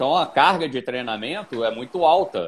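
A man talks at a moderate pace with vocal fry. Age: 50s. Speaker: amateur endurance athlete. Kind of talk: casual chat.

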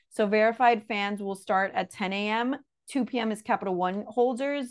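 A woman speaks with a strong Miami accent at a medium pitch. Her intonation stays fairly even over a quiet background. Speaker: podcast host. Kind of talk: casual chat.

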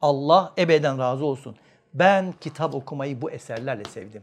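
Against a quiet background, a man speaks at a moderate pace in an animated tone with lively intonation. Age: 50s. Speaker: family counselor and behavioral scientist. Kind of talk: religious lecture to an audience.

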